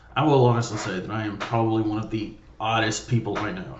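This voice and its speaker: A man with an American accent talks at a fairly low pitch with ordinary variation. Room echo is audible. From US South, small-town Mississippi. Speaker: vlogger. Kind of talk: casual monologue. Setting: home studio room with curtains. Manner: loud; rambling, casual.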